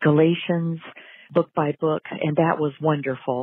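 A woman speaks at a fairly slow pace in an ordinary speaking voice. Her pitch is fairly low. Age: 60s. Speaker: caller. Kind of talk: voicemail question. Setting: phone voicemail.

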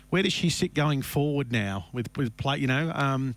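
A man with an Australian accent, at a fairly quick pace. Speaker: radio racing show host. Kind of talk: casual radio chat. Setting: radio studio.

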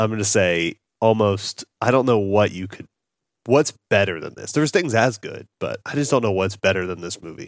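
A man has an unremarkable speaking voice, fairly low in pitch with ordinary pitch variation. His loudness swings widely. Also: moderate pace. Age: 30s. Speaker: movie podcast host. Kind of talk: casual chat.

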